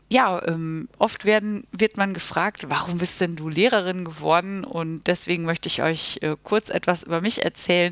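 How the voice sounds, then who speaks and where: A woman with a plain, everyday voice speaks at a moderate pace with hardly any pauses, using a fairly low pitch and ordinary pitch variation, in a dry, close sound with no echo. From Germany, Münster (Westphalia). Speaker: school teacher and podcast host. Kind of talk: solo podcast introduction. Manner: casual with filler sounds.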